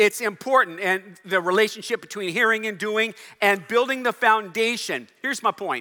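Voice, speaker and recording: Raised and projected, a man's voice has a high pitch, a bright, sharp tone and fairly even intonation on a very clean recording with a silent background. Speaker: pastor. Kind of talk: sermon. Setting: church. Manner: fast.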